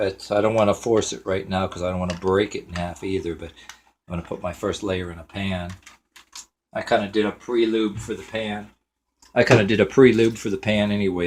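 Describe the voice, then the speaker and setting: A man talks at a fairly quick pace in a fairly low pitch, his intonation fairly even. His loudness swings widely. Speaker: home cooking video host. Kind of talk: cooking tutorial. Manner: casual, hesitant with fillers.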